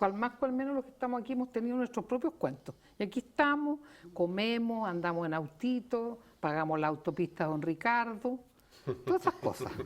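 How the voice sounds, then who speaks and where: A woman speaks with a Chilean accent at a fairly quick pace. Her pitch sits fairly high and swings very widely. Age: 70s. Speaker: psychiatrist. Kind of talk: TV panel debate. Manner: animated.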